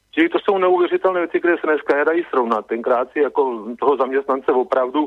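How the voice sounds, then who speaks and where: A man is speaking. His pace is moderate. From Czech Republic. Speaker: radio caller. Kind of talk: phone-in opinion. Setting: phone call.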